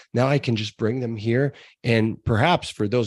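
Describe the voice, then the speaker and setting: With an ordinary speaking voice, a man talks at a moderate pace and medium pitch with ordinary pitch variation, recorded dry and close with no echo against a quiet background. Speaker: podcast host. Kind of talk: casual interview.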